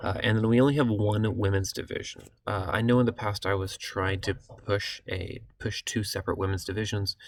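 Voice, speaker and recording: Somewhat breathy, a man talks at a fairly quick pace with a fairly low pitch and fairly even intonation. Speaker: city recreation program coordinator. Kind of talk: online meeting presentation. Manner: fast; hesitant fillers.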